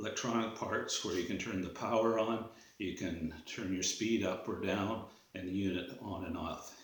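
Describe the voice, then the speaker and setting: A man with a Canadian accent speaks at a moderate pace with ordinary pitch variation, with audible room echo. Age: 60s. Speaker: drywall tradesman. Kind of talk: product review. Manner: casual, hesitant with fillers.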